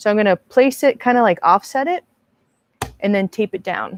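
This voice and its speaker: The sound is dry and close, with no echo. A woman speaks at a medium pitch with ordinary pitch variation. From US West Coast, Marin County, California. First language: Spanish. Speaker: art instructor and video creator. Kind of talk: live stream tutorial. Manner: casual, chatty.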